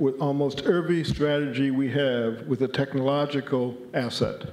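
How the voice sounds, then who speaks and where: A man talks at a medium pitch, fairly slowly, with fairly even intonation. Room echo is audible around his voice. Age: 60s. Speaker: conference speaker on college planning. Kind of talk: conference presentation.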